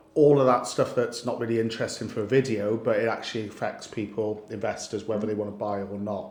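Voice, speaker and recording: With a Welsh accent, the speaker rushes along at a very fast pace in a monotone, flat intonation with hardly any pauses. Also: man, medium pitch for a man. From Wales. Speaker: lender sales host. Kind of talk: casual chat.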